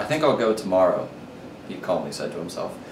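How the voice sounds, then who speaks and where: A man's lively intonation and moderate pace come through noticeable background noise. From New Orleans, Louisiana. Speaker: college student. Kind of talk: story reading.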